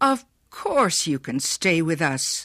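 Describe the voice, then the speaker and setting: Raspy and pitched in the middle range, this is a put-on character voice. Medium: read story. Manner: warm, hospitable.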